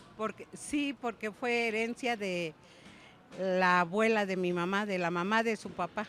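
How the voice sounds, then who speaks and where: At a fairly slow pace, a woman with an ordinary speaking voice talks at medium pitch with ordinary pitch variation. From Mexico City. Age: 60s. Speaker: market vendor. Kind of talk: interview.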